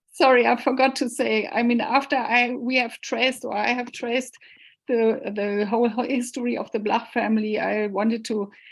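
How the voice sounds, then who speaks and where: Her German accent comes through as a woman speaks at a high pitch and moderate pace. The intonation is fairly even, and the background is quiet. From northern Germany, Hanover. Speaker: cellist and researcher. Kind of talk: Q&A at online talk. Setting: video call. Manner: halting.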